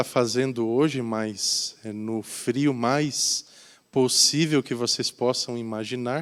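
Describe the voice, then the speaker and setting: A man speaks at a very slow pace with a slight Curitiba accent and ordinary pitch variation. The recording is very clean, with a silent background. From Brazil, Curitiba. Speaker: volunteer pastor. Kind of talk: sermon. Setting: church.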